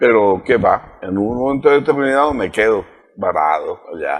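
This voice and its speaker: Pitch swinging very widely, a man talks fairly slowly. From Spain, province of Ávila. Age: 80s+. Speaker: author. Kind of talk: interview. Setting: studio. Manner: halting.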